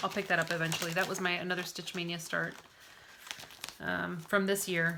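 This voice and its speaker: Noticeable background noise sits behind a woman's voice. She speaks at a fairly quick pace with monotone, flat intonation. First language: not English. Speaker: cross-stitch vlogger. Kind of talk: casual chat. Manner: hesitant, many fillers.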